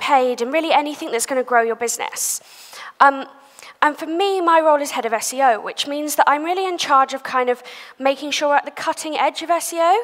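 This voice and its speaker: A woman's very fast, high-pitched speech with lively intonation over noticeable background noise. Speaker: SEO agency head, conference speaker. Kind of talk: conference talk. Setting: stage with audience.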